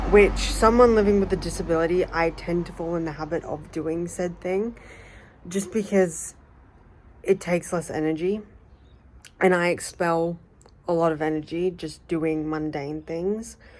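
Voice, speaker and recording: A woman with an Australian accent talks at a moderate pace and a fairly low pitch. Her intonation is fairly even, with long, frequent pauses. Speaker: vlogger. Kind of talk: casual vlog monologue. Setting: outdoors.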